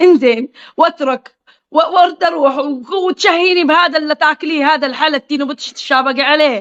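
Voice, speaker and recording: A woman speaks in an animated tone with a Qatifi accent and a high pitch. Her pace is moderate and her pitch varies in an ordinary way. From Qatif, Eastern Province, Saudi Arabia. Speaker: social media live streamer. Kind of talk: casual chat on a live stream. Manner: informal.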